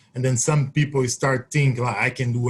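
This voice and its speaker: A somewhat breathy man's voice at a medium pitch. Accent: Brazilian Portuguese. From Brazil. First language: Portuguese. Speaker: Olympic triple jumper. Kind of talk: webinar Q&A.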